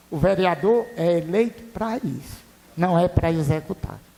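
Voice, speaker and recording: A man's high-pitched voice at a fairly slow pace, with ordinary pitch variation and noticeable background noise. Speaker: city councillor. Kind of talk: public hearing question. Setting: council chamber public hearing. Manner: loud.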